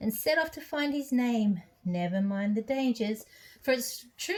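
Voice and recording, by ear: Lively intonation in a natural voice reading aloud.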